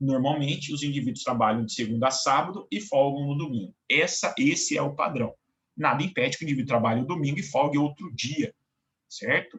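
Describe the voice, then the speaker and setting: Here is a normal speaking voice from a man. He moves at a fairly quick pace with ordinary pitch variation. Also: fairly high pitch for a man. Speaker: law professor. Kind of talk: lecture. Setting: online class recording.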